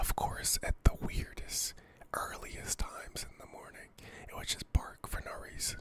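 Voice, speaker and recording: Over noticeable background noise, a man whispers at a fairly slow pace. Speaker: ASMR creator. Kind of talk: casual chat, ASMR. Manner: whispered.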